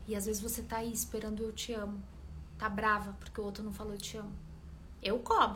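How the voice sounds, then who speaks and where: A woman talks at a fairly quick pace with long, frequent pauses, her voice carrying audible room echo over noticeable background noise. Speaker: relationship coach. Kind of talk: live stream talk to followers. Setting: live video stream.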